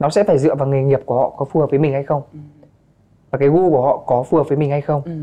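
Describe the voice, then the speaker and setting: A man talks with a fairly high pitch. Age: 20s. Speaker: MC and influencer. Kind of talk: casual chat.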